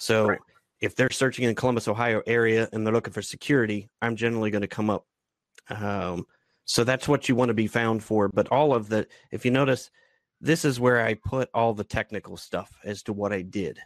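In a normal speaking voice, a man of medium pitch talks at a fairly quick pace with fairly even intonation, the sound dry and close with no echo against a quiet background. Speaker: former IT business owner, LinkedIn trainer. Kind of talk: webinar workshop. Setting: online webinar with screen share.

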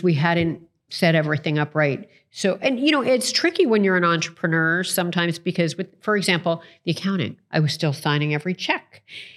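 A woman with an American accent and a normal speaking voice talks at a fairly quick pace, fairly low in pitch with ordinary pitch variation. Her loudness stays very even on a very clean recording with a silent background. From Toronto, Canada (also New York). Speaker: entrepreneur and author. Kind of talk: interview.

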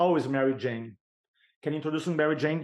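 A man in a Brazilian accent speaks with a fairly high pitch and fairly even intonation. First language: Portuguese. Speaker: sales and speaking coach. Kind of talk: podcast interview.

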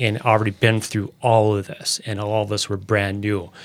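With an American accent, a man talks at a fairly low pitch in a very clean recording with a silent background. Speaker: podcast host. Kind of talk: interview. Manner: stutter.

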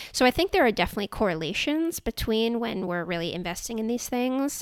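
With very wide pitch swings, a woman speaks in an American accent on a very clean recording with a silent background. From US West Coast, Silicon Valley. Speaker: clinical psychologist. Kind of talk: interview conversation.

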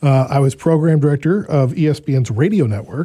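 The voice is dark, mellow and somewhat breathy, with ordinary pitch variation. It moves at a fairly quick pace. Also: man. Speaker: podcast host living with Parkinson's. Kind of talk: interview.

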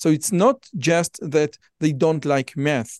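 A man speaks with an Israeli accent. His pitch is fairly high. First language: Hebrew. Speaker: podcast host. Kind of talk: interview.

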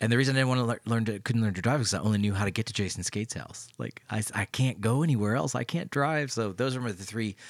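Speaking with an American accent at a very fast pace, the voice has hardly any pauses and ordinary pitch variation. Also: man, medium pitch for a man. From Knoxville, Tennessee, US South. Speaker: pastor and podcast host. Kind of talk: casual conversation about faith.

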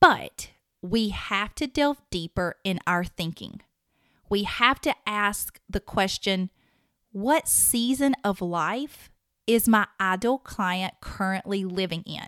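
Very slowly, a woman speaks with a strong Southern US accent at a medium pitch. Her pitch varies in an ordinary way, and the recording is very clean with a silent background. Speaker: podcast host and marketing consultant. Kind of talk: solo podcast monologue.

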